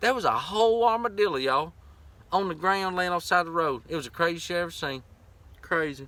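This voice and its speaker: A man talks at a very fast pace in a Southern US accent, his pitch high for a man. His tone is bright and sharp, and his intonation is lively. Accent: Southern US accent, milder than locals. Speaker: vanlife vlogger. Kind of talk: casual chat. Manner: animated.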